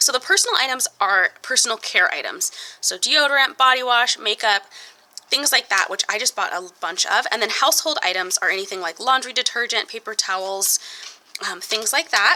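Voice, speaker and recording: A woman talks at a fairly quick pace with a fairly high pitch and lively intonation. Noticeable background noise can be heard. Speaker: budgeting vlogger. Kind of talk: casual vlog tutorial.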